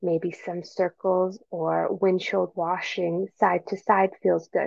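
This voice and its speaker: A woman's gentle, dark, mellow tone at medium pitch, with ordinary pitch variation and a very slow pace, dry and close with no echo. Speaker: meditation guide. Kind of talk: guided meditation. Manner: slow, calm, soothing; gentle, unhurried, with long pauses.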